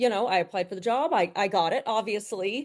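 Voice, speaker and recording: At a moderate pace, a woman with a slight Southern US accent speaks with lively intonation over a quiet background. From US South, Atlanta, Georgia. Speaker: business CEO. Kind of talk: interview conversation.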